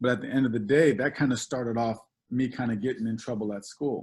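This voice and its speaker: An ordinary speaking voice belongs to a man with an American accent and a medium pitch. He moves at a fairly quick pace with ordinary pitch variation. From California, Oak Park. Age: 40s. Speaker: assistant principal, keynote speaker. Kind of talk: keynote speech. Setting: video call.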